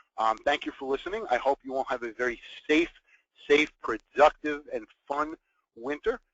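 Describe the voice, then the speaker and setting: In a New York accent, a man talks at a moderate pace with a fairly high pitch, ordinary pitch variation and long, frequent pauses. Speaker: business continuity consultant. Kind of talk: webinar presentation.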